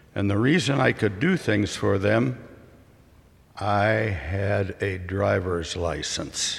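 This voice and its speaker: A man's fairly low, vocal-fry voice with an American accent, very slow and very even in loudness. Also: ordinary pitch variation. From US Midwest. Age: 80s+. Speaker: retired father giving a reflection. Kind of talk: prepared speech at church. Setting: church. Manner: formal.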